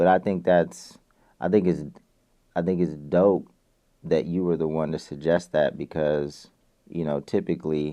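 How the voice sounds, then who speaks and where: A man's very deep, low voice, dark and mellow, in monotone, flat intonation at a moderate pace with long, frequent pauses and a quiet background. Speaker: music entrepreneur, former label founder. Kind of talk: podcast interview.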